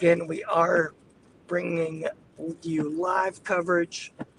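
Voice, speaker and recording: A man's high-pitched, monotone and flat voice, dry and close with no echo, with noticeable background noise. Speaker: storm chaser live streamer. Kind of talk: live commentary while driving. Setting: in a car. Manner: casual, chatty.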